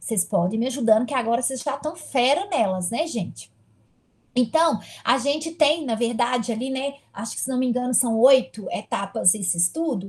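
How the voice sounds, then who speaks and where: Pitched high, a woman speaks at a moderate pace with lively intonation. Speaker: university lecturer. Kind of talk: online lecture.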